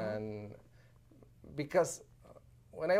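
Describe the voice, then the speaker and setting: A man with a Spanish accent talks at a fairly slow pace. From Sonora, northern Mexico. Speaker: diplomat, former mayor. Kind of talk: interview. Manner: halting.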